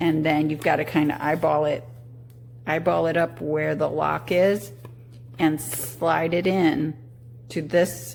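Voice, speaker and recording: Noticeable background noise sits under fairly slow speech that has ordinary pitch variation. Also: woman. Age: 60s. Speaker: product reviewer. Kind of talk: casual product review. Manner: halting.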